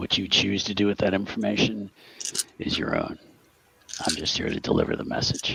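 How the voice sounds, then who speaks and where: Using a put-on character voice, a raspy man with fairly low pitch talks at a fairly quick pace broken by long, frequent pauses. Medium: actual play. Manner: terse, businesslike.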